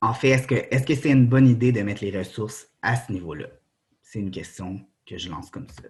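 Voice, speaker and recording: The speaker talks at a fairly quick pace and sounds somewhat breathy. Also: man, medium pitch for a man, ordinary pitch variation, big swings in loudness. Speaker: doctoral researcher. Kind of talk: academic conference talk. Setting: presentation to students with slides. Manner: halting, many fillers.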